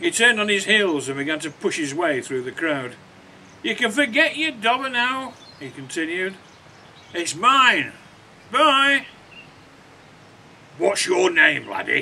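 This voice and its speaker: In a raised, projected voice, a man speaks fairly slowly at a high pitch, swinging very widely in pitch and pausing long and often. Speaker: author. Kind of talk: reading aloud from own children's novel.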